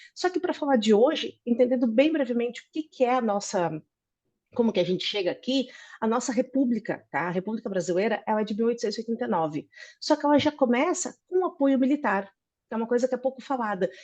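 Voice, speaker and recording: Over a quiet background, a woman talks at a very fast pace, her high pitch carried by lively intonation. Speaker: political scientist. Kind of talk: academic presentation.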